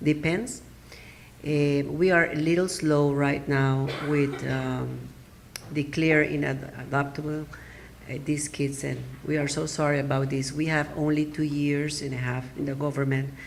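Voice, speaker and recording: This woman has a very deep, low pitch and a Spanish accent, speaking at a fairly slow pace. Her intonation is monotone and flat, with audible room echo. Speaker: adoption attorney. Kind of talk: conference presentation. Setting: symposium audience. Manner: halting, with many fillers.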